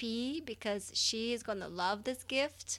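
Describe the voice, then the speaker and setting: A woman with a non-native accent speaks at a very slow pace. Her pitch is fairly high with ordinary variation. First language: not English. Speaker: podcast co-host. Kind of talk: casual chat.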